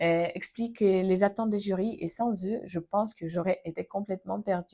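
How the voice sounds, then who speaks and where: The tone is dark and mellow, with ordinary pitch variation at a moderate pace. The sound is dry and close, with no echo. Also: woman. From Ukraine. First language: Ukrainian or Russian (speaking French). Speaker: vlogger. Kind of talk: personal testimony vlog. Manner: hesitant, frequent fillers.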